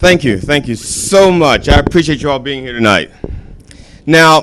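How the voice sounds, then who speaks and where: A fairly high-pitched man at a moderate pace, lively intonation, noticeable background noise. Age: 50s. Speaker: comedian. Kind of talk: stand-up. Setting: stage with audience. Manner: animated.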